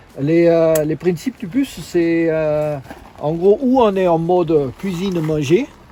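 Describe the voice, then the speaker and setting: Noticeable background noise under a man with a high pitch, ordinary pitch variation and a very slow pace. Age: 50s. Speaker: long-term van traveler. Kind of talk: casual walkthrough of his van. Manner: halting, many hesitations.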